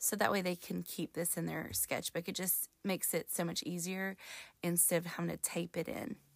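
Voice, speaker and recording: Vocal fry runs through a woman's fairly low voice, delivered with monotone, flat intonation. The recording is very clean, with a silent background. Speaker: middle school art teacher and podcast host. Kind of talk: solo podcast tutorial. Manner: fading, lower pitch toward the end.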